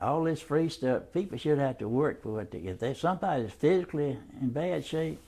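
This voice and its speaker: This man has a Southern US accent and a fairly high pitch. His tone is dark and mellow, and his intonation is lively. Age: 80s+. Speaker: war veteran. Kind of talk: oral history interview.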